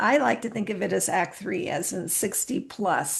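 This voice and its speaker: Vocal fry marks this woman's fairly high-pitched voice as she talks at a fairly slow pace. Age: 60s. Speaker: podcast host. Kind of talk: reflective podcast monologue. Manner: casual, conversational.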